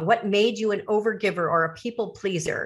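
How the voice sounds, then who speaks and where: Pitched fairly high, a woman talks at a fairly slow pace in an unremarkable speaking voice. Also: very clean recording, silent background. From US Midwest, north shore of Chicago. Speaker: author and retired educator. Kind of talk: interview.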